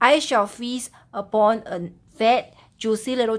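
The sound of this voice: Intonation here is fairly even. It comes in an unforced reading voice.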